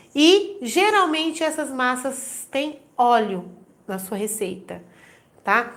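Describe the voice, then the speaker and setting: Her voice carries audible room echo. The woman's pitch sits high. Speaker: baking instructor. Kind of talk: live stream tutorial.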